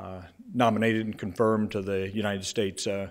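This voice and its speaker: This is a plain, everyday voice from a man. It sits fairly low in pitch, with fairly even intonation. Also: quiet background. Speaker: invited judge giving a lecture. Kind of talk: lecture. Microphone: lapel.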